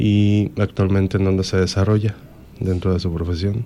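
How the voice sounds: A man speaks at a moderate pace in a low, nasal voice with a dark, mellow tone and little pitch movement.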